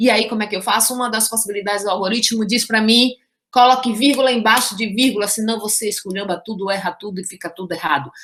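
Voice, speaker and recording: A woman talks at a very fast pace. Her fairly high-pitched voice carries an animated tone. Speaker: math teacher. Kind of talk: lecture.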